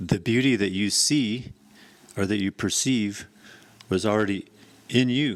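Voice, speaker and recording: Pausing long and often, a man talks at a fairly slow pace with a fairly low pitch and ordinary pitch variation. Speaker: solo podcaster and musician. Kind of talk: casual monologue.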